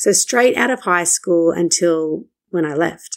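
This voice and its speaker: A woman speaks at a moderate pace and a medium pitch, with ordinary pitch variation. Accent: Australian. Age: 30s. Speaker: marketing coach and podcast host. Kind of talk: solo podcast monologue.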